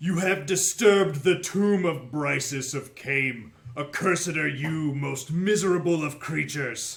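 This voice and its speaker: A man puts on a character voice, pitched fairly high and delivered at a moderate speed. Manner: menacing, accusing.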